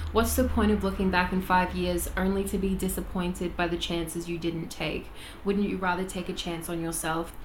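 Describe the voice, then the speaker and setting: Noticeable background noise and audible room echo surround a woman speaking at a moderate pace. Her pitch is fairly low and her intonation monotone and flat. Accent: Australian. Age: 20s. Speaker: vocal coach and podcast host. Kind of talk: casual chat.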